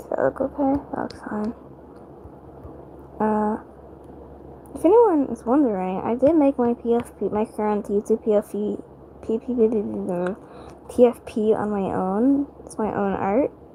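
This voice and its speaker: Soft-spoken and fairly high-pitched, a woman talks at a fairly slow pace with long, frequent pauses and ordinary pitch variation. Her loudness swings a lot, and there is noticeable background noise. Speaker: livestreamer drawing digital art. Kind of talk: casual livestream chat while drawing. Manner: quiet, speaking softly at night; hesitant with many fillers.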